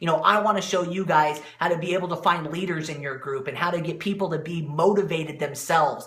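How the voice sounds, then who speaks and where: A man with a high-pitched voice speaks very fast, with hardly any pauses. There is noticeable background noise. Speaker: motivational speaker and network marketing coach. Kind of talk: live-stream motivational talk. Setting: live video stream. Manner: animated.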